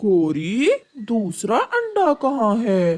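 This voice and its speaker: A cartoonish character voice, female-sounding and fairly high in pitch for a woman, carries the lines. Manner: irritable.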